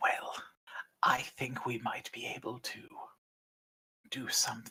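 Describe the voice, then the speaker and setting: A man whispers in a raspy, put-on character voice. His pace is moderate. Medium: actual play. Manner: unhurried, lordly.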